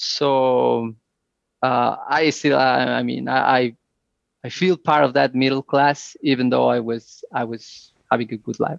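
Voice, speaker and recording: Heard in a dry, close recording with no echo, a man talks at a fairly slow pace. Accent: Spanish. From Mexico, Mexico City area. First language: Spanish. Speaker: immigrant guest, engineer. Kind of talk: interview, casual chat. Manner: halting, many fillers and repetitions.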